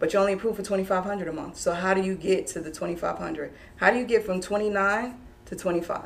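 This woman talks at a very fast pace with fairly even intonation. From New York. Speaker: real estate broker; guest. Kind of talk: explaining a mortgage program in an interview. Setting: live online video stream. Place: meeting room. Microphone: camera far.

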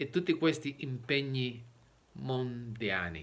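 With a Spanish accent, a man speaks at a very slow pace with lively intonation and a bright, sharp tone. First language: Spanish (speaking Italian). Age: 60s. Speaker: preacher. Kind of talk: sermon. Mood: earnest, explanatory. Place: home room. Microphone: phone near.

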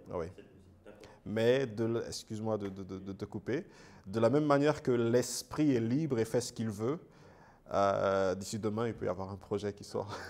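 Pausing long and often, a man talks at a fairly slow pace with ordinary pitch variation. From Gabon. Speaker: gospel singer; guest. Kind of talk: interview; interview answer. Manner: halting. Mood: warm, often smiling. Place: studio. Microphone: lapel.

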